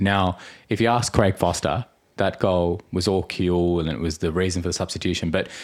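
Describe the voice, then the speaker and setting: Here is a man with an Australian accent and a very deep, low pitch. He talks at a fairly quick pace. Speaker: podcast host. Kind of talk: casual chat.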